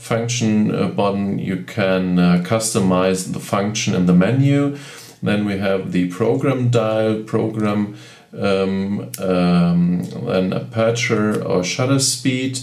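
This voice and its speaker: A man with a German accent, fairly low in pitch with ordinary pitch variation, at a very slow pace, amid audible room echo and noticeable background noise. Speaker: camera reviewer. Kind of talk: tutorial. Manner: halting.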